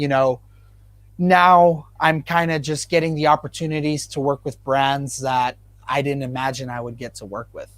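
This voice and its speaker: In an unremarkable speaking voice, a man talks at a moderate pace with a fairly high pitch, fairly even intonation and big swings in loudness. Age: 20s. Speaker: guitarist and producer. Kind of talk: casual chat.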